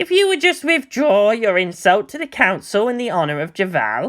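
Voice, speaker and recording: A man's put-on character voice, high in pitch, with very wide pitch swings. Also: moderate pace. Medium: read story. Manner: sheepish.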